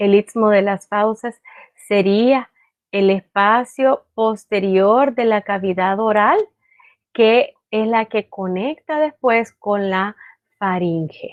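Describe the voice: A woman speaks slowly at a medium pitch with ordinary pitch variation. The sound is dry and close, with no echo.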